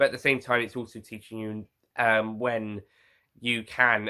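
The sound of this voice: A man speaks at a moderate pace in a bright, sharp tone, his fairly low pitch showing little movement.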